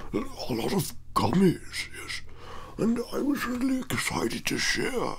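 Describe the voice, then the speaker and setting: A man uses a put-on character voice at a fairly slow pace, with long, frequent pauses. Clear background noise is present. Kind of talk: ASMR talking to camera.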